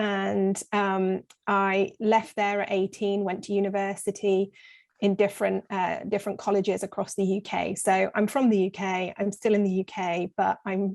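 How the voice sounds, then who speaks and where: Speaking with an English accent, a woman keeps a medium pitch, a moderate pace and a monotone, flat intonation against a quiet background. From south of England. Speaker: recruitment business leader. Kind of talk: interview.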